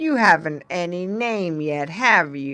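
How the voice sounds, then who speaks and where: A put-on character voice, female-sounding, at a middle pitch and a fairly slow pace. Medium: read story.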